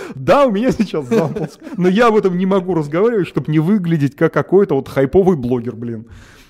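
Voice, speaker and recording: The man's voice sits high in pitch. His pitch swings very widely. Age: 30s. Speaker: online education entrepreneur. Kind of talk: casual chat.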